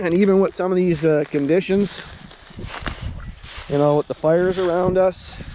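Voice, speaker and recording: Over noticeable background noise, a man with a high pitch speaks at a fairly slow pace with ordinary pitch variation. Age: 60s. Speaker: outdoors vlogger. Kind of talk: casual vlog talk while walking. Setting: outdoors on a nature walk.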